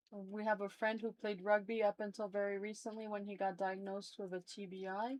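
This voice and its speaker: A woman with a French accent talks at a fairly quick pace and medium pitch, hardly pausing, her intonation monotone and flat. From southern France, Toulouse. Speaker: livestream guest. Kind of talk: casual chat.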